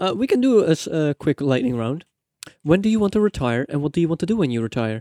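Very fast and with very wide pitch swings, a man speaks in a dark, mellow tone, the sound dry and close with no echo. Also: fairly high pitch for a man. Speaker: podcast co-host. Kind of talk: casual chat.

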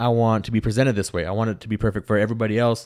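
This man speaks very fast. The background is silent and the recording very clean. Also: dry, close sound with no echo. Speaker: podcast co-host. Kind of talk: casual chat. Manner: fast talker.

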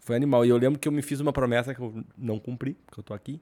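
A man with a gaúcho accent speaks in a dark, mellow tone on a very clean recording with a silent background. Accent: noticeable gaúcho. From Rio Grande do Sul, southern Brazil. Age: 40s. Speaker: podcast co-host. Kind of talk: casual chat. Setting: studio.

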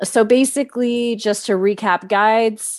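Against a quiet background, a woman with a Texan accent speaks at a very slow pace. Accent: Texan (US Southern). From Texas. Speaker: podcast host. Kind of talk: casual chat.

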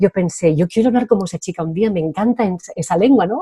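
Speaking at a fairly quick pace with a Spanish accent, a woman uses lively intonation and a dark, mellow tone. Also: dry, close sound with no echo. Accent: Spanish (Spain). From Spain. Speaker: Spanish teacher. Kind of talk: interview.

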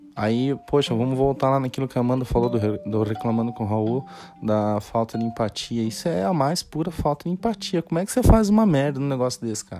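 Lively intonation and hardly any pauses carry this fairly quick speech over music in the background. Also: man, medium pitch for a man. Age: 30s. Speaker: solo podcaster. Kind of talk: casual monologue. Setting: bedroom at home.

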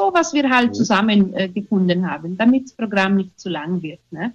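A woman's somewhat breathy voice rises and falls in very wide pitch swings. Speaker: theatre group leader. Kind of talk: radio interview. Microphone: unstable internet connection.

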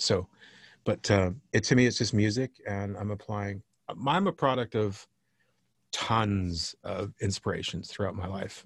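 Speaking at a fairly slow pace, a man uses a fairly low, somewhat breathy voice. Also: ordinary pitch variation. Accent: slight Southern US. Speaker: record producer. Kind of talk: casual chat. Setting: video call.

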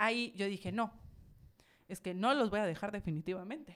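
This is a woman with a plain, everyday voice at medium pitch. Her pace is moderate, with ordinary pitch variation. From Mexico, Villahermosa, Tabasco. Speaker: charity founder and entrepreneur. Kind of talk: casual interview.

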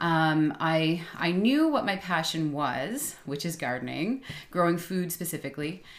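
A woman with a Canadian accent speaks at a fairly low pitch and a fairly slow pace. Her intonation is lively, and there is audible room echo. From suburban Ontario. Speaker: biologist and gardening business owner. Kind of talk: casual interview. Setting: home studio.

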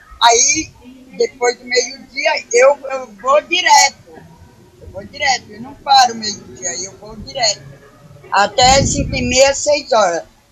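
A woman's high-pitched voice with lively intonation and big swings in loudness, at a very slow pace over noticeable background noise. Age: 50s. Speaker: day cleaner. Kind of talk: interview answers.

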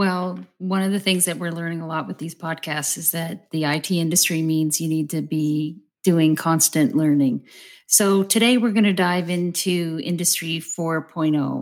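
A woman's fairly low, ordinary speaking voice at a fairly slow pace, on a very clean recording with a silent background. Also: fairly even intonation. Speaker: podcast host and company CEO. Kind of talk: interview conversation.

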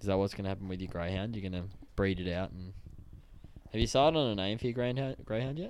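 Talking at a very fast pace yet with long, frequent pauses, a man with an Australian accent sounds animated, his fairly low pitch showing ordinary variation. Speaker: sports podcast host. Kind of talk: casual chat.

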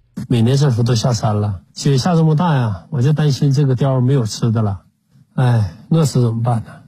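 Somewhat breathy, a man speaks at a fairly quick pace in a medium pitch with ordinary pitch variation. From Jilin, northeast China. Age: 60s. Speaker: farmer and wildlife photographer. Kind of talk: casual chat.

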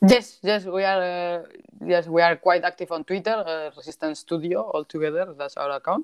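A woman uses a plain, everyday voice, fairly low in pitch, with ordinary pitch variation at a moderate pace. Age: 30s. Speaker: game developer. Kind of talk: interview.

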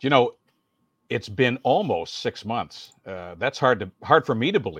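A man of medium pitch with a Canadian accent, fairly slow, with very wide pitch swings, dry and close with no echo, over a quiet background. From Welland, Ontario. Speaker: veteran radio broadcaster and community emcee. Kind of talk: casual interview chat.

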